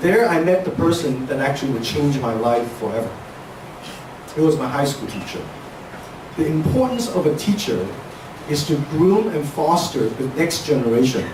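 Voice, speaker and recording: Lively intonation at a moderate pace, with long, frequent pauses, audible room echo and noticeable background noise. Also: man, fairly high pitch for a man. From Hong Kong, moved to Seattle at 13. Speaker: speaker sharing life story. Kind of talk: inspirational talk.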